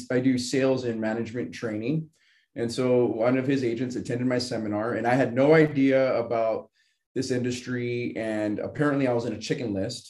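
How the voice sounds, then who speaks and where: A man with an American accent talks at a moderate pace and medium pitch. It is a plain, everyday voice with fairly even intonation. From Southern California. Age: 30s. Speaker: financial services agent, bodybuilder. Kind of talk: casual interview.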